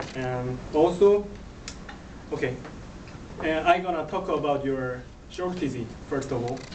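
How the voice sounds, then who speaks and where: A man with a Korean accent speaks fairly slowly at a fairly high pitch, with ordinary pitch variation and long, frequent pauses. Light background noise runs underneath. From South Korea. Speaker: speech evaluator. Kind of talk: speech evaluation; speech evaluation in a second language. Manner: halting. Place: classroom. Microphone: camera far.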